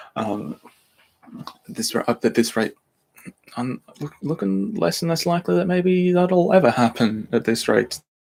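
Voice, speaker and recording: A man with an Australian accent and a fairly high pitch, very wide pitch swings, a fairly slow pace and long, frequent pauses. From Australia, Brisbane. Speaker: podcast creator and narrator. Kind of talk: live Q&A stream. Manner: halting, many restarts.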